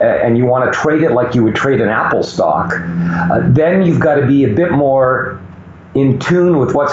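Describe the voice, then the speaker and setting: There is audible room echo and noticeable background noise as a man speaks at a moderate pace with ordinary pitch variation. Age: 60s. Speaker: mining sector veteran and commentator. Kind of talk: interview. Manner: hesitant, many fillers.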